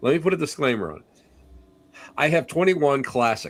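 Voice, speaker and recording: On a very clean recording with a silent background, the speaker talks fairly quickly with lively intonation. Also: man. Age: 60s. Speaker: psychic medium and paranormal investigator. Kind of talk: casual interview chat. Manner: halting, repetitive.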